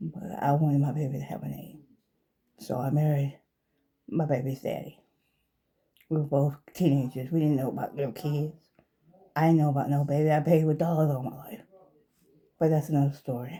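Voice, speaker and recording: Speaking at a fairly quick pace despite long, frequent pauses, a woman with a very deep, low pitch uses a dark, mellow, somewhat breathy tone and fairly even intonation. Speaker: vlogger giving life advice. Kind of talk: personal commentary monologue. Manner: halting, emotional.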